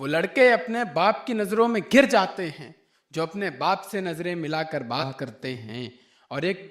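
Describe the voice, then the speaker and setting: Over a quiet background, the voice swings very widely in pitch. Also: man. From Lucknow. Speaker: poet. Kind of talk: poetry reading. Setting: live stage, audience. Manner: powerful, fiery.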